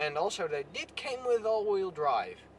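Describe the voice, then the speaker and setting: A man talks with lively intonation. Noticeable background noise is heard behind him. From Netherlands. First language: Dutch. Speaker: car vlogger. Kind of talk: casual vlog. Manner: halting.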